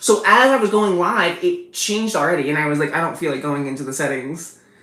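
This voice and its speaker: Over noticeable background noise, a woman with a fairly low voice talks very fast with lively intonation. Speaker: streamer. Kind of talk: live stream chat. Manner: loud.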